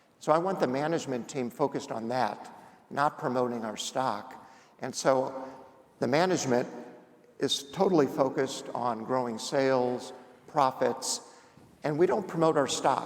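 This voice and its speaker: A man with an American accent talks at a moderate pace and medium pitch, with ordinary pitch variation. Long, frequent pauses break up his speech, and the room echo is audible. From Indiana. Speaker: company founder and executive chairman. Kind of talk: on-stage interview.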